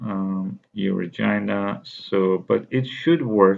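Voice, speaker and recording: A man with a non-native accent speaks in a very deep, low voice. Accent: foreign. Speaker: university instructor. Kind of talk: course overview lecture. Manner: halting, many fillers.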